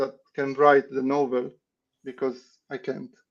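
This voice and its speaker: The speaker is a man. His accent is non-native. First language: not English. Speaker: playing card designer. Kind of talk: interview. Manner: halting, with many restarts.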